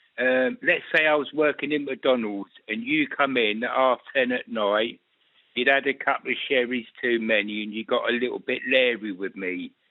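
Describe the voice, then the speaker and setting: A man talks at medium pitch and a moderate pace, his intonation fairly even. He has a plain, everyday voice. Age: 60s. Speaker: caller. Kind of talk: radio phone-in call.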